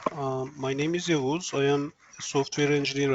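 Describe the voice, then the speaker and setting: A man with a Turkish accent talks at a moderate pace in a medium pitch. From Turkey. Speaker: software engineer, interview guest. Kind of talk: interview. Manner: hesitant, frequent fillers.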